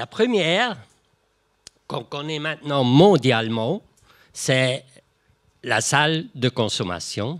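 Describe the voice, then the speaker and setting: A man with a non-native accent talks at a very slow pace, leaving long, frequent pauses. His voice is fairly high, with lively intonation. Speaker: retired addiction organization director. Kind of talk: panel discussion. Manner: halting.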